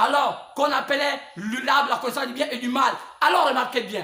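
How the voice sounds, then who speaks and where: A man with an extremely high pitch talks at a fairly quick pace amid audible room echo and noticeable background noise. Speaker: preacher. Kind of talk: sermon. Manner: halting, with many repetitions; spontaneous, not calm.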